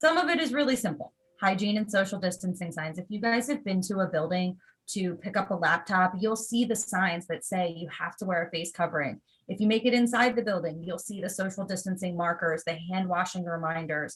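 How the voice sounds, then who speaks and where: This woman talks at a fairly quick pace with a medium pitch and ordinary pitch variation. Her voice is somewhat breathy. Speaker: school district staff presenter. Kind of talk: presentation on video call.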